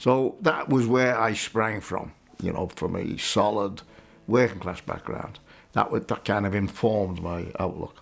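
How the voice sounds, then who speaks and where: A man with a Liverpool accent, fairly low in pitch, ordinary pitch variation, fairly slow pace. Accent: Scouse (Liverpool). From Liverpool, England. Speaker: retired trade unionist and political activist. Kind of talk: interview. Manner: halting.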